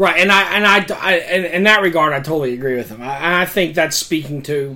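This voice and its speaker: A man keeps up a moderate tempo while noticeable background noise fills the clip. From Tennessee. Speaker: pastor. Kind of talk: casual chat.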